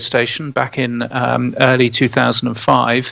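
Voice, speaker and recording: Delivered with a British accent, the voice has a bright, sharp tone and a monotone, flat intonation. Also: man. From England. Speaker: podcast newsletter editor, radio veteran. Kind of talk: podcast interview.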